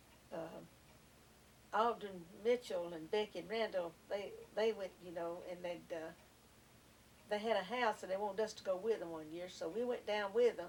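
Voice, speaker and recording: This woman speaks at a moderate pace with a Southern US accent, her pitch medium and her intonation fairly even. Her loudness swings widely, and she leaves long, frequent pauses. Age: 70s. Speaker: grandmother interviewed by family. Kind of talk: family oral history interview. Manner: casual, hesitant with fillers.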